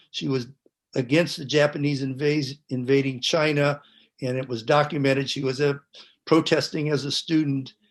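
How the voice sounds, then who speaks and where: In an American accent, a man speaks at a fairly high pitch and moderate pace with monotone, flat intonation. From US West Coast, San Francisco Bay Area. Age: 70s. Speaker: panelist. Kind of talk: testimony. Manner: halting.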